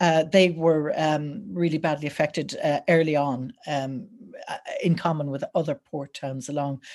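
A woman with an Irish accent talks at a very deep, low pitch. Her pace is fairly slow and her intonation fairly even. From Ireland, County Wexford. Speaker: history lecturer. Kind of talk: lecture. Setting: video call. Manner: hesitant with many fillers.

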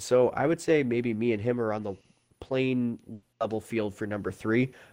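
A man speaks at a moderate pace with medium pitch. He has an ordinary speaking voice. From Prince Edward Island, Canada. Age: 20s. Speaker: gamer and streamer. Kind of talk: casual chat.

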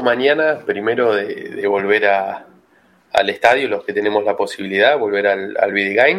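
At a moderate pace, a man uses an unremarkable speaking voice with ordinary pitch variation. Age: 30s. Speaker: football fan. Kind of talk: casual chat.

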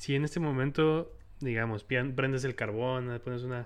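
At a fairly slow pace, a man uses an ordinary speaking voice with a medium pitch. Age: 20s. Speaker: podcast host. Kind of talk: casual interview. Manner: frequent fillers and laughter.

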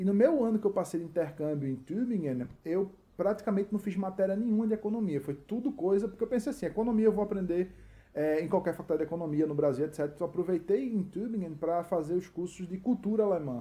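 A high-pitched male voice with a dark, mellow tone, a strong Recife accent, lively intonation and a very fast pace. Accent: strong Recife accent kept. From Recife, Brazil. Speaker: expat content creator. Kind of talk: casual chat.

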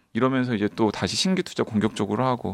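The background is quiet. A man talks at a very fast pace with ordinary pitch variation. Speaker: podcast host. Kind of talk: casual chat.

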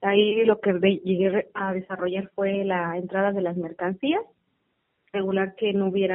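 An unremarkable speaking voice from a woman, medium in pitch, with fairly even intonation. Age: 20s. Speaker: customs and foreign trade graduate. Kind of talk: interview.

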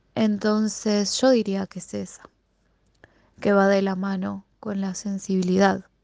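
A woman speaks in a Rioplatense accent at a fairly slow pace. Her tone is dark and mellow, her intonation monotone and flat. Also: medium pitch for a woman, big swings in loudness. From Buenos Aires, Argentina. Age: 20s. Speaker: secondary school language and literature teacher. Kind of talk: recorded personal answers to interview questions.

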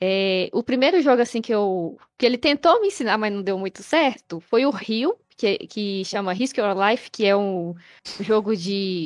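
With lively intonation and a fairly high pitch, a woman speaks in a plain, everyday voice at a fairly slow pace against a quiet background. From Brazil, Minas Gerais (Betim, Belo Horizonte area). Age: 20s. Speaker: gamer. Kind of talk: casual interview. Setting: live stream.

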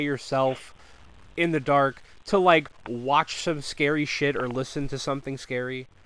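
Here is a man with a normal speaking voice, pitched fairly high. He talks at a moderate pace. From Connecticut. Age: 20s. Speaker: podcast host. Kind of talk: casual chat.

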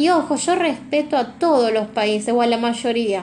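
A high-pitched woman's voice in a Rioplatense accent. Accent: Argentine Rioplatense Spanish. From Argentina. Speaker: tarot reader. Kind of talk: tarot reading monologue. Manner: reflective, searching pace.

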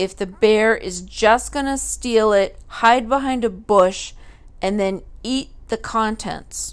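Ordinary pitch variation across an ordinary speaking voice. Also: woman, very clean recording, silent background. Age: 30s. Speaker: solo podcaster. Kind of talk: casual monologue.

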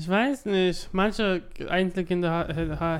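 A man is talking. The intonation he uses is fairly even. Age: 20s. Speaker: podcast co-host. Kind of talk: casual chat. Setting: recorded separately, voice messages.

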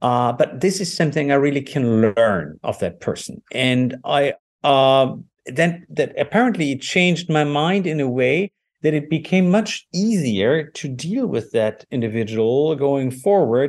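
This man has a fairly high pitch and a German accent. He speaks at a fairly slow pace with lively intonation. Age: 50s. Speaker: lawyer. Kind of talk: interview. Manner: halting.

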